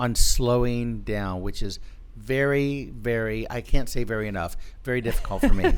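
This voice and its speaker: A man of medium pitch speaks at a moderate pace with fairly even intonation, with audible room echo around him. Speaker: pastor. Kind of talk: casual chat.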